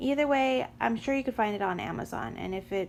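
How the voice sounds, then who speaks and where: A soft-spoken woman talks at a moderate pace. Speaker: homeschooling mom. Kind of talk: casual talk to camera.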